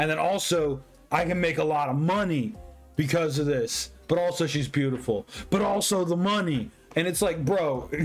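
A man talks at a moderate pace with ordinary pitch variation. Faint music plays in the background. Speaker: content creator. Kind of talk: casual vlog chat, story retelling. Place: home room. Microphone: webcam.

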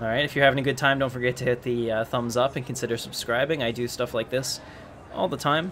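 A man rattles along at a very fast pace, his pitch medium and his intonation fairly even. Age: 30s. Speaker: gaming streamer. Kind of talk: live gameplay commentary. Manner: casual.

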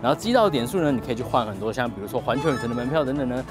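Clear music plays in the background as a man speaks. The sound is dry, with no echo. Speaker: travel vlogger. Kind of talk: casual vlog chat. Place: street. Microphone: lapel.

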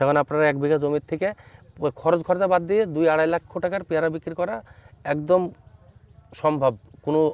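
A man speaks with a plain, everyday voice at a fairly high pitch. His intonation is fairly even, and the sound is dry and close with no echo. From Bangladesh, Chuadanga district. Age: young. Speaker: fruit farmer and nursery owner. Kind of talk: field interview. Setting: outdoors in an orchard.

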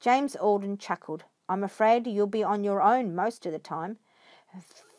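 A natural voice reads the text. Nothing much is heard behind it.

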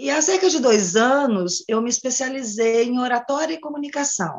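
Over a quiet background, a woman speaks at a fairly slow pace and a fairly high pitch, with very wide pitch swings. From Brazil. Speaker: teacher and speaking instructor; teacher, speaking instructor. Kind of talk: workshop participant explaining her project. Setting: video call. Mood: slightly insecure, candid. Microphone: video call.

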